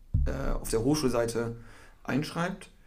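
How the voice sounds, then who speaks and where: Audible room echo carries a man's vocal fry at a moderate pace. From northern Germany, Cloppenburg area. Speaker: university student. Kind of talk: casual podcast chat.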